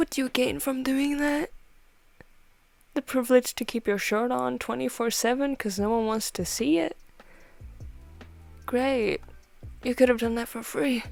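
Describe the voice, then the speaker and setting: A woman's high, lively voice at a moderate pace with long, frequent pauses and music in the background. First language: not English. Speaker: art and chat video creator. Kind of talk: casual chat. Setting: at home while drawing. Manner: quieter than usual, not alone at home; casual, filler-heavy.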